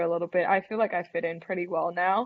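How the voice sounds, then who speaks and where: A woman's medium-pitched voice with a Thai accent. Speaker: college golfer. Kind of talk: interview.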